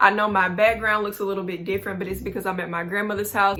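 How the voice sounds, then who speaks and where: Over noticeable background noise, the speaker talks at a very fast pace in a monotone, flat intonation. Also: woman. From Mississippi, US South. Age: 20s. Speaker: YouTuber. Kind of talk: vlog talk to camera. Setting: at grandmother's house. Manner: loud; casual slangy.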